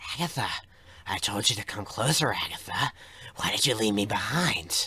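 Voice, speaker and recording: A man uses a put-on character voice, raised and projected. His tone is raspy, at a medium pitch. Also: moderate pace. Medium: read story. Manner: mimics a young woman's voice.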